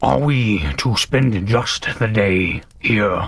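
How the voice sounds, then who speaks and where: A man growls through a put-on character voice at a medium pitch. He talks at a very slow pace with lively intonation. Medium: actual play. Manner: formal, reserved.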